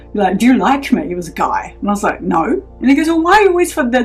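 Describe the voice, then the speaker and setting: A woman talks very fast as music plays behind her. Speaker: podcast host. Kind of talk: casual conversation.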